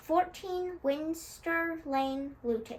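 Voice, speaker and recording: A woman performs a put-on character voice at an extremely high pitch, with clear background noise behind her. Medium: read story.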